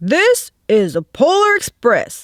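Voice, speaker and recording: A woman's put-on character voice at an extremely high pitch. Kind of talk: bedtime story. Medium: read story.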